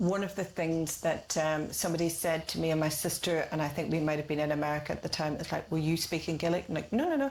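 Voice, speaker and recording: A woman in a Northern Irish accent talks very fast with hardly any pauses, very even loudness and ordinary pitch variation, over noticeable background noise. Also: fairly low pitch for a woman. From Northern Ireland, Castlederg, County Tyrone. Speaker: artist. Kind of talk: casual chat. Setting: artist's studio.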